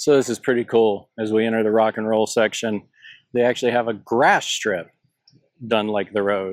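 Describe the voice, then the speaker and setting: At a moderate pace, a man with a Southern US accent speaks at a medium pitch in a very clean recording with a silent background. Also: fairly even intonation. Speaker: travel vlogger. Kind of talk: walking tour vlog. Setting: outdoors. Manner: casual, conversational.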